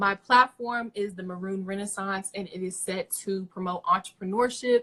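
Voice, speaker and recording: A woman speaks at a moderate pace in a bright, sharp tone, her loudness swinging widely, with a dry, close sound and no echo. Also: medium pitch for a woman, fairly even intonation. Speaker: student radio host and pageant candidate. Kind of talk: campaign pitch. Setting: Instagram live stream.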